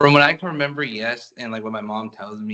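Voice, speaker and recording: A man with an American accent speaks in a bright, sharp tone at medium pitch. His pitch variation is ordinary, and the background is quiet. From United States, Dominican family. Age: 20s. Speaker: client in mock assessment. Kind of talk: clinical assessment interview, role-play.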